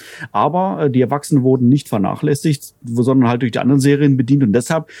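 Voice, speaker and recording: A man's dark, mellow tone in a dry, close sound with no echo. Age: 40s. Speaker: toy collector. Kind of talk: casual chat. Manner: halting.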